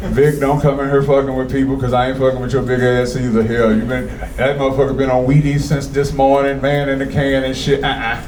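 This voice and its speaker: A man talks at a very fast pace with hardly any pauses, at a medium pitch. Audible room echo and noticeable background noise surround him. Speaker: comedy show host. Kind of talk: stand-up crowd work. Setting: stage with audience. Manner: animated.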